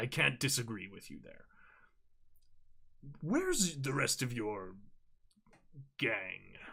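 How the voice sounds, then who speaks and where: A man's raspy, put-on character voice at medium pitch, fairly slow, with lively intonation and long, frequent pauses. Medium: actual play. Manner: authoritative, weary.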